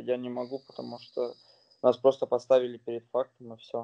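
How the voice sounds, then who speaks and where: A man is heard against a quiet background. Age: 20s. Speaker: professional footballer; interviewee. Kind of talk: interview. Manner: halting. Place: home room. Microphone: phone near.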